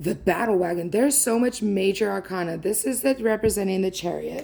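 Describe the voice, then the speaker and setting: Her voice dark and mellow with vocal fry, a woman speaks at a medium pitch and fairly quick pace with ordinary pitch variation. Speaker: tarot reader. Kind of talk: tarot reading. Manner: casual, conversational.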